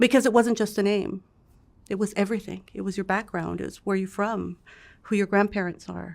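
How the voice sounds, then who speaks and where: With vocal fry and monotone, flat intonation, a woman at medium pitch talks fairly quickly on a very clean recording with a silent background. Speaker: interviewee telling life story. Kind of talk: interview testimony.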